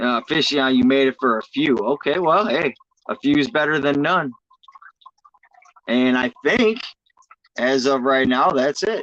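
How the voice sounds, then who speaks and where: A man speaks at a fairly slow pace with long, frequent pauses and ordinary pitch variation. His loudness stays very even, and the sound is dry and close, with no echo. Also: fairly high pitch for a man. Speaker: fishkeeping livestream host. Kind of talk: casual chat. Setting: livestream.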